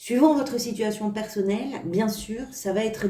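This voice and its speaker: This woman's voice is somewhat breathy, with a dark, mellow tone. She keeps a moderate pace and ordinary pitch variation. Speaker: tarot reader. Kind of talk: tarot reading video. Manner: stammering slightly; hesitant with fillers.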